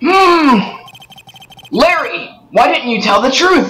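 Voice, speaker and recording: High-pitched and fairly slow, a put-on character voice. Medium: fan dub.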